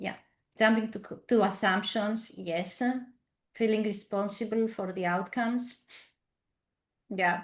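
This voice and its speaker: A woman speaks with a non-native accent, her voice somewhat breathy. Long pauses come often. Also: medium pitch for a woman, fairly slow pace. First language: not English. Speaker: team coach. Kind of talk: webinar presentation. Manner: halting.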